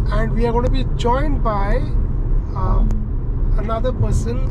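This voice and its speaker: A man talks in a dry sound with no echo while loud background noise goes on around him. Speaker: travel vlogger. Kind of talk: casual vlog chat. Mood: relaxed, mildly excited. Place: car. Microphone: camera far.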